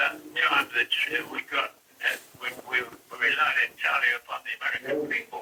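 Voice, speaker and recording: The speaker is a man at a moderate pace. There is noticeable background noise. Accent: English. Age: 80s+. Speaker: WW2 veteran pilot. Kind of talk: anecdotal storytelling. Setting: phone line.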